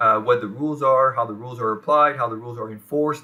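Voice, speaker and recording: The man speaks with a French accent and ordinary pitch variation. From France. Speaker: professor. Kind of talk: lecture. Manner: halting, many fillers.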